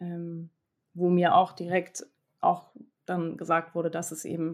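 The recording is very clean, with a silent background. A woman speaks at a fairly slow pace and fairly low pitch. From Hamburg, northern Germany. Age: 20s. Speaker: cancer survivor. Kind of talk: interview testimony.

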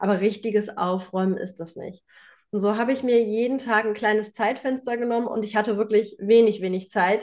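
Fairly high in pitch, a woman with a plain, everyday voice speaks at a fairly quick pace with fairly even intonation. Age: 30s. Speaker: home organization coach. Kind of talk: interview.

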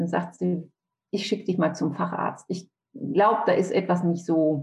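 The woman's voice is somewhat breathy and medium in pitch. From Franconia, Germany (Nürnberg). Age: 50s. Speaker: author and bereaved mother. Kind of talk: interview testimony.

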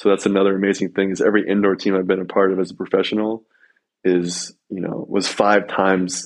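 A man with an American accent speaks in a very deep, low voice and a monotone, flat intonation. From US, Colorado. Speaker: professional volleyball player and author. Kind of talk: casual interview.

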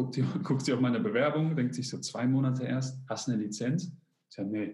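A man's medium-pitched, dark and mellow voice, somewhat breathy, at a moderate pace with ordinary pitch variation. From Germany, Polish immigrant family. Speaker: fitness coach and YouTuber. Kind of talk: casual interview.

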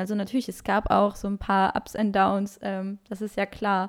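In a very clean recording with a silent background, a woman talks at a moderate pace with a fairly high pitch. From Luxembourg. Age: 20s. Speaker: health coach. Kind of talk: interview.

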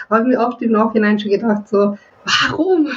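Over noticeable background noise, a woman with a Viennese accent speaks in a fairly high voice with ordinary pitch variation. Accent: Viennese Austrian German. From Austria, Vienna. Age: 20s. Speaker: webcam model. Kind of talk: casual interview chat. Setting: remote call from home. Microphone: laptop FaceTime call.

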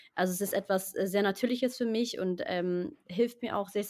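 Fairly quick delivery in an ordinary speaking voice, its pitch varying in an ordinary way. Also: woman. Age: 20s. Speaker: actress and singer-songwriter. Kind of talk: interview.

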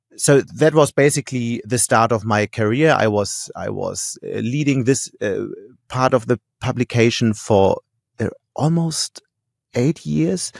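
A man with a German accent, medium pitch and lively intonation at a fairly slow pace, in a dry, close sound with no echo on a very clean recording with a silent background. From Germany, Hamburg. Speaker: newspaper editor-in-chief. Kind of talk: interview.

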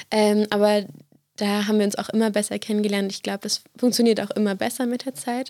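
A woman speaks at a very fast pace in a dark, mellow tone with monotone, flat intonation. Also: fairly high pitch for a woman. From eastern Brandenburg, Germany. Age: 20s. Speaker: student and youth music project leader. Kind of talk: podcast interview. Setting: studio.

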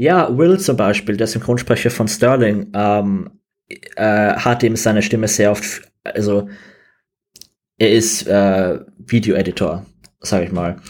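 Very slow speech from a man at a fairly low pitch, with long, frequent pauses, in a very clean recording with a silent background. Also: ordinary pitch variation. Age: 20s. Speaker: game designer. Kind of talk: interview.

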